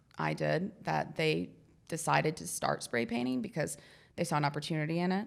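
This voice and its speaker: Talking very fast with vocal fry, a woman with a very deep, low pitch and ordinary pitch variation is heard on a very clean recording with a silent background. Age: 30s. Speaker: mural artist. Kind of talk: casual interview chat. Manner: casual, hesitant with fillers.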